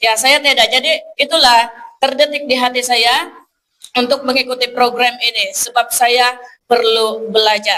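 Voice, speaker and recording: This woman has a high, bright, sharp voice and speaks at a moderate pace. Her loudness stays very even, and her intonation is fairly even. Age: 20s. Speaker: evangelist. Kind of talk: testimony. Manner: halting.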